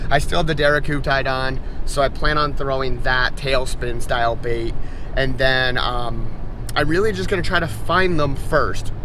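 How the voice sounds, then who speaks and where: Speaking at a moderate pace with very even loudness, a man is heard with audible room echo and noticeable background noise. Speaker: fishing vlogger. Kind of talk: casual vlog narration. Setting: on a boat on a lake; in a truck, then on a boat. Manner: loud, yelling over engine.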